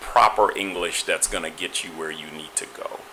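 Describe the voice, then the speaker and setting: Over noticeable background noise, a man talks with an American accent. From Guyana and Trinidad, US from age 10. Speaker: political press secretary. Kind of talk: interview. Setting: online talk show with chat room. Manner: conversational with frequent fillers.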